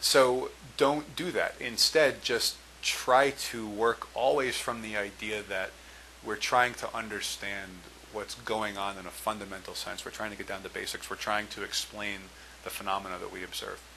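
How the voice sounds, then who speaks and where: Against noticeable background noise, a man with a fairly low pitch speaks at a moderate pace, his loudness swinging widely while his pitch varies in an ordinary way. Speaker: test prep tutor. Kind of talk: tutorial. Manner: hesitant, with fillers and stumbles.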